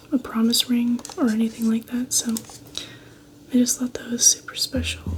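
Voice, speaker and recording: Soft-spoken and at a fairly slow pace, a woman talks over noticeable background noise. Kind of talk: ASMR soft-spoken show and tell to camera.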